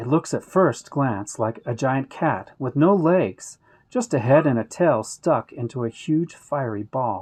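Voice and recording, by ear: Someone is reading aloud in a natural voice, and the intonation sounds lively.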